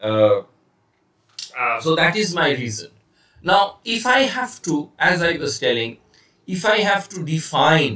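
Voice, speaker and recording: Speaking with an Indian accent, a man uses a bright, sharp tone and a high pitch, swinging his pitch very widely at a fairly slow pace with long, frequent pauses. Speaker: communication trainer. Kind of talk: lecture. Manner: hesitant, many fillers; slow, deliberate.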